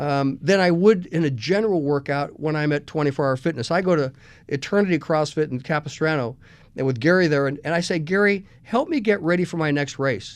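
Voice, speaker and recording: Fairly quick speech from a man with a fairly high pitch and ordinary pitch variation, over a quiet background. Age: 60s. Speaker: radio host. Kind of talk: radio talk show monologue. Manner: casual, hesitant with fillers.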